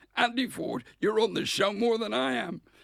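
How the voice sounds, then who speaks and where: This man talks at a moderate pace in a West Country accent. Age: 60s. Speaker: comedian. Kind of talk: casual chat.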